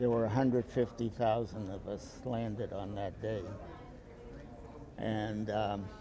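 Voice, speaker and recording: A man talks in a fairly low pitch with monotone, flat intonation and long, frequent pauses. Audible room echo fills the recording. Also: fairly slow pace. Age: 80s+. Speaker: war veteran. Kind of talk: talk to a school class. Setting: classroom. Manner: halting.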